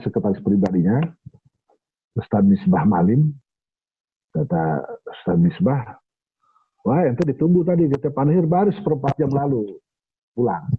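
Over a quiet background, a man with a medium pitch talks at a fairly quick pace with very wide pitch swings, very even loudness and long, frequent pauses. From Indonesia, Bekasi (West Java); West Java, Indonesia. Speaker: writer and historian; storyteller recalling a historic figure. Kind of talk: storytelling in a discussion. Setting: video call. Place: home room. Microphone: phone near.

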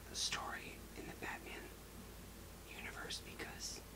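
Against loud background noise, a man speaks at a moderate pace. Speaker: ASMR creator. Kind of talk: ASMR book review talk to camera. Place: home room.

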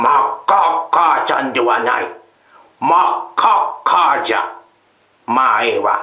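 Putting on a character voice, a man speaks fairly slowly in a high pitch, leaving long, frequent pauses, and his voice carries an audible echo. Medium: read story. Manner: gruff.

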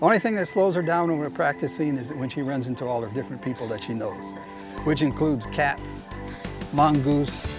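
With lively intonation and a fairly high pitch, a man talks at a moderate pace over clear background music, his voice dry with no echo. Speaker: walking companion of a marathon runner. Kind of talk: interview answer. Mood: warm, admiring. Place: garden. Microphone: lapel.

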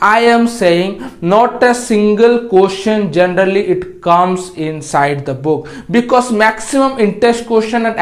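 Here a man talks with a high pitch. His pitch variation is ordinary. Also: moderate pace. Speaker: tutor. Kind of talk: lecture. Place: classroom. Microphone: lapel.

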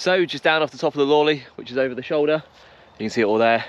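A man's voice with ordinary pitch variation and a dry sound with no echo. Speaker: hiking vlogger. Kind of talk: casual vlog chat. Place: open country. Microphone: phone near.

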